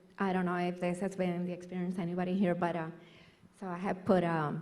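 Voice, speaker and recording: Audible room echo around a woman's voice at a medium pitch. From Puerto Rico. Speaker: church member, panelist. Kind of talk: panel discussion.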